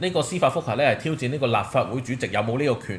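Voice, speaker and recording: This man talks at a very fast pace, somewhat breathy. His pitch is fairly high, with ordinary pitch variation. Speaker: podcast host. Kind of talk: casual chat.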